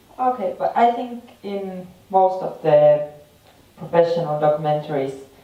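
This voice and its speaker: A woman at a fairly slow pace and a fairly low pitch, with audible room echo. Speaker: film production manager. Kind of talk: festival Q&A panel talk. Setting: theater with audience.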